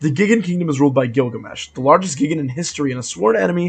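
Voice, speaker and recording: Somewhat breathy, a man's voice sits at a fairly high pitch with ordinary pitch variation. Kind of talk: video game lore narration. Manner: casual, conversational.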